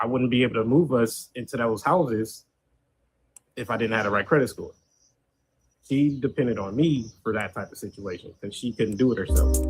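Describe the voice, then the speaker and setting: Somewhat breathy and medium in pitch, a man speaks at a fairly quick pace with ordinary pitch variation and long, frequent pauses. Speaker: dating show contestant. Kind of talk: casual panel discussion.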